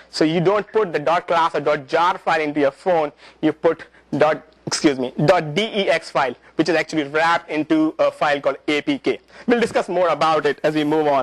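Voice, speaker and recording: A man with a non-native accent talks at a fairly quick pace and fairly high pitch, with ordinary pitch variation and a dry, close sound with no echo. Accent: non-native accent, self-described as funny. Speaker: presenter at a developer user group. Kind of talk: technical presentation. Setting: talk to a live audience with microphone. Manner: halting, many fillers and repetitions.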